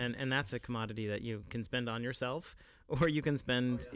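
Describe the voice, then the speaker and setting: Fairly even intonation in a man's medium-pitched voice. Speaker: co-host, English professor. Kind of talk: casual chat about faith. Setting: studio.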